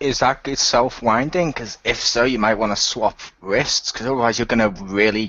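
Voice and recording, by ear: A natural voice reading aloud, pitch shifting in an ordinary way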